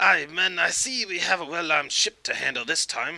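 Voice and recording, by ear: In a put-on character voice with a Scottish accent, a man speaks at a moderate pace and a fairly high pitch. His tone is bright and sharp, with vocal fry. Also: ordinary pitch variation. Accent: mock Scottish.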